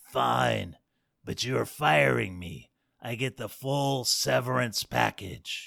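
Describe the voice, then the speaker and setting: Putting on a character voice, a man speaks raspy and very deep, at a very slow pace with very wide pitch swings. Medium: read story.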